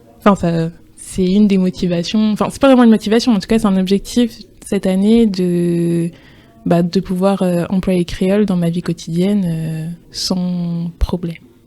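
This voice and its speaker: A woman speaks at a medium pitch and a moderate pace. Her tone is dark and mellow, and her intonation fairly even. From France. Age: 20s. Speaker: podcast guest. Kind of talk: interview testimony. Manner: hesitant.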